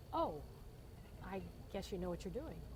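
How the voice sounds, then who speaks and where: A woman with an American accent talks against noticeable background noise. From Indiana, USA. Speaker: Vietnam-era Army nurse. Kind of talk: oral history interview answer. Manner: casual, humorous storytelling.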